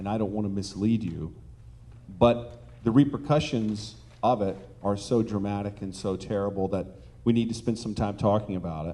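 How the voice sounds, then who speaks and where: A man's dark, mellow voice, fairly low in pitch, at a moderate pace with audible room echo. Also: ordinary pitch variation. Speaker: online dating company executive. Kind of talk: conference panel talk.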